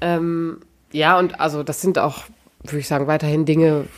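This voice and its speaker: A woman's very deep, low voice with a flat, monotone delivery. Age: 30s. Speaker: podcast co-host. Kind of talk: casual chat.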